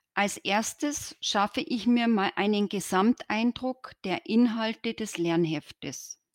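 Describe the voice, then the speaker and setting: A woman speaks at a very slow pace with hardly any pauses, her fairly high pitch carrying lively intonation. The sound is dry and close, with no echo. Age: 50s. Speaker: coach in training, engineering technician. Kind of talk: interview. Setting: virtual studio, remote call.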